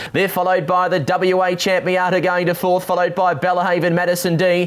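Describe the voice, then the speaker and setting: Over noticeable background noise, a man talks in an excited tone at a high pitch. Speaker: greyhound race caller and interviewer. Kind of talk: greyhound race call. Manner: fast, excited.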